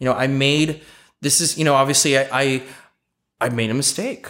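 The man speaks at a moderate pace with a medium pitch. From Los Angeles, California (Eagle Rock). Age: 30s. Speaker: real estate broker. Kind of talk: interview.

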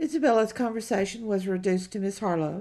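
An ordinary speaking voice, its pitch varying in an ordinary way. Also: woman. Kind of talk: audiobook narration of a period novel, reading aloud with character dialogue. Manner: measured, storytelling pace, steady literary narration.

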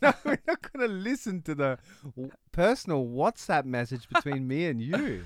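With an Australian accent, a man talks at a moderate pace and a fairly high pitch. His pitch swings very widely, and the sound is dry and close with no echo. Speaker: podcast co-host. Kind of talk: casual chat. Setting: studio. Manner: animated.

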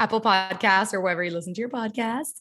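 A woman with an American accent, medium pitch and ordinary pitch variation. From Miami, Florida. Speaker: performer and creative. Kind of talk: casual chat. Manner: fast talker.

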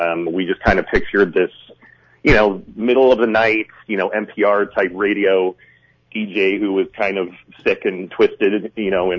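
A man speaks with a fairly low pitch. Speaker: film director and producer. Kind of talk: interview. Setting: phone call. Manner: halting.

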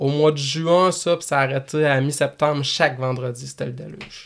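This man has a normal speaking voice. His pitch is fairly high and his intonation fairly even. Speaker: motocross track owner and racer. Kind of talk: casual chat. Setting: studio.

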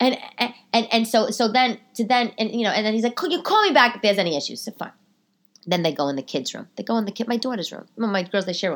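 A woman's fairly high, animated voice in a New York accent, very fast, with lively intonation and vocal fry. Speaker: comedian. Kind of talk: casual chat. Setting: home. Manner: fast talker.

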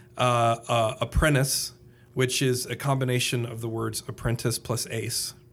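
Here a man speaks in an Indiana accent at a medium pitch. His pace is fairly slow and his intonation is monotone and flat. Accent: Hoosier Indiana. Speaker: public speaker and podcaster. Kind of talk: casual interview chat.

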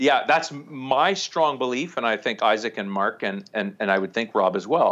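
With a Canadian accent and an ordinary speaking voice, the speaker keeps a moderate pace with lively intonation and hardly any pauses over a quiet background. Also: man, medium pitch for a man. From small-town Ontario, Canada. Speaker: documentary filmmaker. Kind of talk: casual interview.

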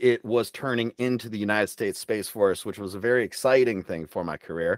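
A man with an American accent speaks in an ordinary speaking voice at a moderate pace and medium pitch, with ordinary pitch variation. The sound is dry and close, with no echo. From Michigan, US Midwest. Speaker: army veteran and program manager. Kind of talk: interview. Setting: remote recording.

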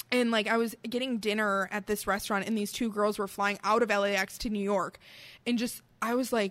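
A woman speaks at a medium pitch with a strong Midwestern accent. Her pace is moderate and her intonation is monotone and flat. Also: very clean recording, silent background. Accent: Midwest, fairly thick. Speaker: podcast co-host. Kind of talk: casual chat while drinking beer.

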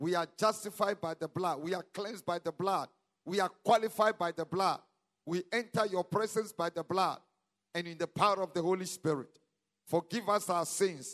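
Heard in a very clean recording with a silent background and a dry, close sound with no echo, a man with a Ghanaian accent talks at a high pitch and a moderate pace with ordinary pitch variation. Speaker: pastor. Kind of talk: prayer; sermon. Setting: church. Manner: animated.

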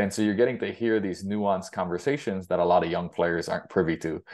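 Fairly quick in pace, a man speaks at a very deep, low pitch. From Hawaii (Big Island). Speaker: baseball coach. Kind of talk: interview, casual chat. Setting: phone call.

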